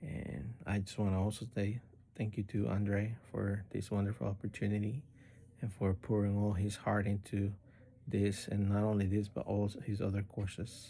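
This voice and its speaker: Somewhat breathy male voice with a dark, mellow tone, monotone and flat, at a moderate pace. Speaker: spiritual course student. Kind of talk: recorded course assignment monologue. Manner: halting, many fillers.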